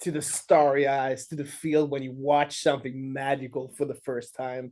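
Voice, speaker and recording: A man speaks at a moderate pace with a Swedish accent. His pitch is fairly high. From Sweden. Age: 40s. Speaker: filmmaker and musician. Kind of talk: interview. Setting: video call.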